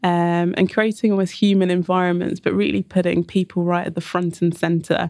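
In a London accent, a woman speaks at a moderate pace with a fairly low pitch, flat monotone intonation and a dark, mellow tone, the sound dry and close with no echo. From North London, England. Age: 30s. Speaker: architect and urban designer. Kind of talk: casual interview conversation.

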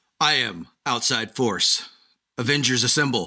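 A man puts on a character voice. He speaks at a moderate pace with a medium pitch. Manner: heroic, bombastic.

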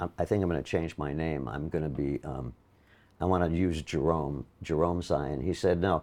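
A man with a very deep, low voice and an American accent, with vocal fry, a moderate pace and a quiet background. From Milwaukee, Wisconsin, US Midwest. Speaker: Broadway actor. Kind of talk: casual interview chat, anecdotal. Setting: interview at his home apartment. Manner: animated, storytelling, self-deprecating humor.

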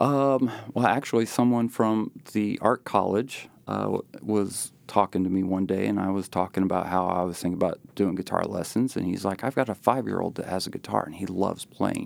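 Speech comes at a fairly quick pace with ordinary pitch variation. The recording is very clean, with a silent background. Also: man, fairly low pitch for a man. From South Central Indiana, US Midwest. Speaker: rockabilly guitarist and guitar teacher. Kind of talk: interview, casual chat. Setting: studio. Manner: halting, many fillers.

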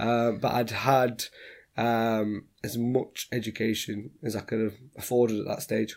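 A man speaks at a fairly slow pace with a Yorkshire accent. His medium-pitched delivery is flat and monotone. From Sheffield, northern England. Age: 20s. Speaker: property entrepreneur. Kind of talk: interview.

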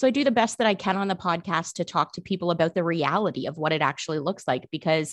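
With a Canadian accent, a woman talks at a fairly quick pace in a medium pitch with ordinary pitch variation, her voice dry and close with no echo against a quiet background. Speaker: podcaster. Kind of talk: casual chat. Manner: animated.

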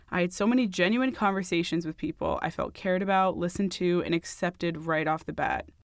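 Using a plain, everyday voice, a woman talks fairly quickly at a fairly low pitch with ordinary pitch variation. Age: 20s. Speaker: podcast host, student. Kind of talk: narration and vlog-style diary.

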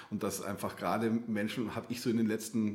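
A man is speaking at a medium pitch. His pace is fairly quick. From Bavaria, outskirts of Munich. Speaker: art therapist. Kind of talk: interview conversation. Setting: in-person studio, coaching room. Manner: hesitant, many fillers and repetitions.

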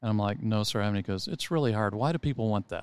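A man with an American accent and a fairly low pitch on a very clean recording with a silent background. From Texas. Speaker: golf club director. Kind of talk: casual interview. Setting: in person studio.

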